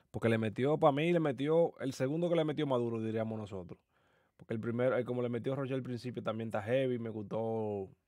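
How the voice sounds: A man talks at a fast pace with a slightly mellow tone. His pitch is medium and his intonation fairly even.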